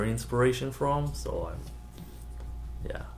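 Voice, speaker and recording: A man's very slow, somewhat breathy speech with very wide pitch swings and audible room echo. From Israel. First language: Hebrew. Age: 20s. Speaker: comic book art student. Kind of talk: casual interview.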